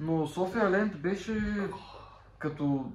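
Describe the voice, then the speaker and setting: Room echo can be heard around the man as he talks. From Bulgaria, Popovo (Targovishte). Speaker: podcast co-host. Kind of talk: casual chat.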